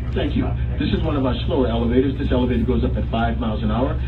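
Noticeable background noise runs through the clip. The speaker talks at a very fast pace. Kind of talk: tour guide announcement. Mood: friendly, upbeat.

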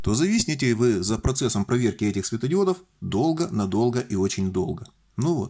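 Over a quiet background, a man with a dark, mellow tone speaks at a moderate pace, his pitch swinging very widely. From Russian Far East, Vladivostok; Russia. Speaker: electronics DIY video maker; electronics hobbyist demonstrating. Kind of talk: tutorial. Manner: jokey, informal. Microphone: phone near.

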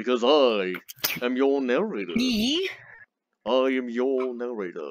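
A man adopts a put-on character voice, talking fairly slowly at a medium pitch.

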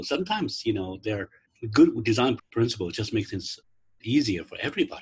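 A man is speaking. His voice is somewhat breathy. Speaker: instructional designer leading faculty workshop. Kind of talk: online training workshop. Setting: video call. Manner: halting, many fillers. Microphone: video call.

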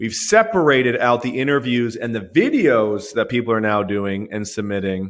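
The speaker has an animated tone, keeps a moderate pace and hardly pauses at all. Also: man, medium pitch for a man, ordinary pitch variation. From Vancouver, Canada. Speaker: company founder hosting product webinar. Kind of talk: live webinar product demo. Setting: live stream with webcam.

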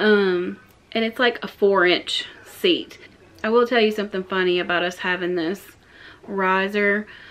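A woman speaks at a fairly slow pace with fairly even intonation. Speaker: home vlogger. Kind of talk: casual vlog chat. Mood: amused, chatty. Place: home room. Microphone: phone near.

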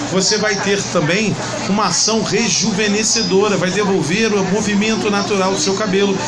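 A high-pitched male voice with crowd noise in the background. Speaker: announcer / product presenter. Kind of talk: product promotion presentation to camera.

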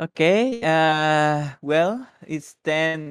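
The man's fairly high voice comes through with a dry, close sound and no echo. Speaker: English teacher. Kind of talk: online language class. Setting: voice chat on Discord. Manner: switches between English and Spanish.

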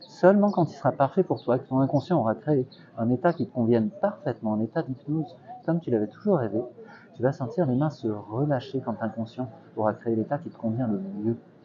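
A man's fairly quick speech carries lively intonation, with noticeable background noise underneath. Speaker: street hypnotist. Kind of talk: hypnosis induction, guided relaxation. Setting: outdoors, in a park. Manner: soft-spoken, repetitive, gentle. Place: garden. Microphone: lapel.

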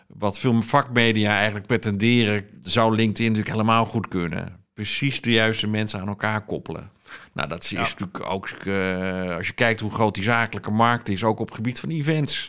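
Against a quiet background, a man speaks at a fairly quick pace, his pitch fairly low with ordinary variation. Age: 40s. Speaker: podcast publisher and media consultant; podcast guest. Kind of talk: interview. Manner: hesitant, many filler sounds. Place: office. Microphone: studio mic.

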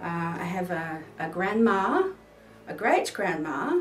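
A woman with a New Zealand accent and medium pitch, heard with audible room echo and light background noise. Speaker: vlogger. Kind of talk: casual talk to camera. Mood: playful, jokey. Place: home room.

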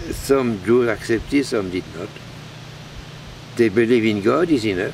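Usual pitch movement at a medium tempo, with a Belgian French accent, a dry echo-free sound and slight background noise. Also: man. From Belgium. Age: 80s+. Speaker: priest; monk priest. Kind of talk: sermon. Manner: halting. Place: garden.

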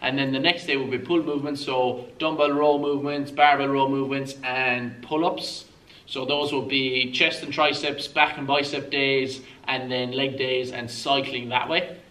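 A man talks at a moderate pace. His intonation stays flat and monotone. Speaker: fitness coach. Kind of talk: tutorial. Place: gym.

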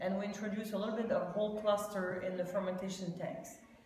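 A woman's voice with fairly even intonation, audible room echo and light background noise. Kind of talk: interview answer. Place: shop. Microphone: phone near.

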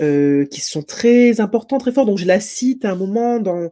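Against a quiet background, a woman speaks at a medium pitch in a dark, mellow tone. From Martinique. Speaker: political science lecturer and author; political science lecturer. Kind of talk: interview. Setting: online video event. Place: home room.

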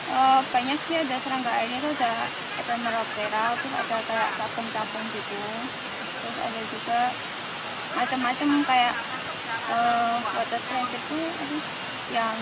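A woman's moderate pace with ordinary pitch variation and long, frequent pauses, in a dry sound with no echo against loud background noise. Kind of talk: interview answer. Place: forest.

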